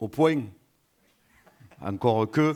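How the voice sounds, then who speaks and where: This man has a southern French accent. The recording is very clean, with a silent background. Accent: Occitan French. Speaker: regional tourism official. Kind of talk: conference welcome speech. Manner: hesitant, frequent filler 'euh'.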